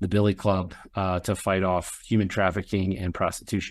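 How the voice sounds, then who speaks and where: A man with a plain, everyday voice, fairly low pitch, fairly quick pace, in a very clean recording with a silent background. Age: 50s. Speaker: professional association president. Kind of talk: interview.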